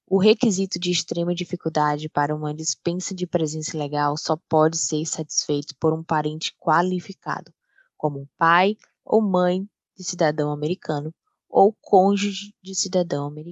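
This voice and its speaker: A woman with a Brazilian accent talks at a moderate pace in a fairly low pitch, with fairly even intonation but big swings in loudness. The sound is dry and close, with no echo. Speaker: paralegal. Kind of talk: scripted narration.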